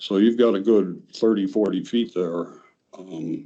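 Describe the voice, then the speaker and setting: Dark, mellow tone from a male speaker. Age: 70s. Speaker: easement monitoring consultant. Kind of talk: presentation at a board meeting.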